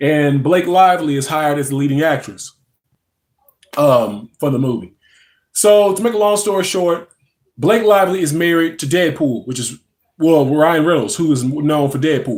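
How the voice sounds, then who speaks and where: Speaking in a Louisiana accent, a man uses a fairly high pitch and lively intonation at a moderate pace. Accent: Southern US (Louisiana). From North Louisiana, US South. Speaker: pop culture live streamer. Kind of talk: casual live stream chat. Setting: live stream at home in a recliner. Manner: halting, many fillers.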